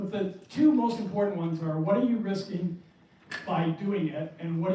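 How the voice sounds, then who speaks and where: Amid noticeable background noise and audible room echo, a man with an American accent talks at a fairly quick pace. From New Hampshire, US. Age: 60s. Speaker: indie game developer. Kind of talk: presentation talk.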